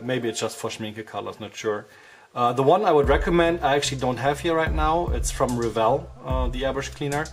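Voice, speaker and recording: The pace of speech is fairly quick. A German accent comes through. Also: man. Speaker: miniature painter. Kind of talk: tutorial talk to camera.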